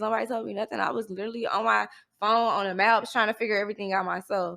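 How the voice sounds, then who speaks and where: A woman with a Southern US accent talks at a very fast pace in a fairly high pitch with a bright, sharp tone, recorded very cleanly against a silent background. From US South, Mississippi. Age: 20s. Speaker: college student and social media influencer. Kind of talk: casual interview chat.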